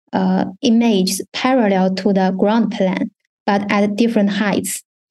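A woman speaks with a Chinese accent in a dark, mellow tone. Her voice is somewhat breathy. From China. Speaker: university research fellow. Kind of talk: technical presentation.

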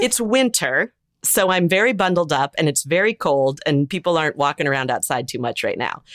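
With an American accent, a woman's fairly low voice makes very wide pitch swings in a dry, close sound with no echo. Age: 50s. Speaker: memoir author. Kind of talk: interview.

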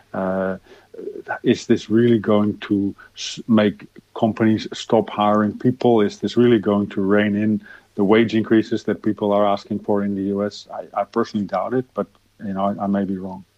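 At a moderate pace, a man talks in a fairly low voice with a monotone, flat intonation. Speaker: economist. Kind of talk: interview. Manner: repetitive, stumbling.

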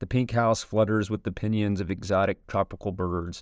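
A man speaks with a fairly low pitch in a normal speaking voice. The recording is very clean with a silent background. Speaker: narrator reading an essay aloud. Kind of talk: literary audiobook reading of an essay. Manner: formal, polished, steady pace.

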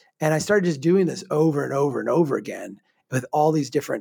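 Delivered at a very fast pace with an American accent, the speech carries vocal fry. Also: man. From Minnesota, small town. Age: 40s. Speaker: urban planner and author. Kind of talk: casual chat.

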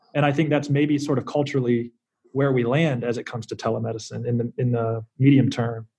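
A man with an American accent speaks fairly quickly at a medium pitch, his voice somewhat breathy with a dark, mellow tone and fairly even intonation. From US South, South Carolina. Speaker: startup lawyer. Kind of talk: interview.

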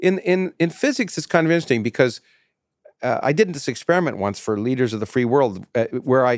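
Talking at a very fast pace with very wide pitch swings, a man with a Canadian accent and a medium pitch sounds dry and close with no echo. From Canada. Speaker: podcast host and physicist. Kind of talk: casual chat. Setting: guest's office.

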